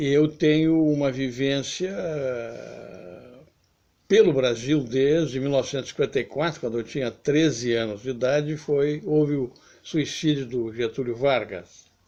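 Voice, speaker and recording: With a dark, mellow tone, a man talks at medium pitch and a fairly slow pace, with ordinary pitch variation. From southern Brazil, Porto Alegre. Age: 70s. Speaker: author and political commentator. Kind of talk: video essay monologue.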